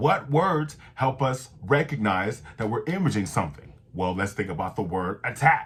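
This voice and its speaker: A man speaks at medium pitch with vocal fry and a fairly slow pace. His tone is animated, and his pitch swings very widely. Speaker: voice-over coach and channel host. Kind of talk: voice-over tutorial.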